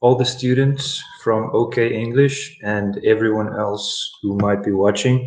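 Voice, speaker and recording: The speaker has a South African accent and talks at a very slow pace. Pitch varies in an ordinary way. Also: man. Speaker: English teacher. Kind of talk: live online English lesson.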